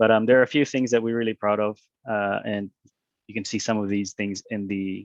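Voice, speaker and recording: A man's fairly low voice at a fairly quick pace, monotone and flat, in a dry, close sound with no echo. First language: not English. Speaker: university representative. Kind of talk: presentation. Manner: hesitant, many fillers.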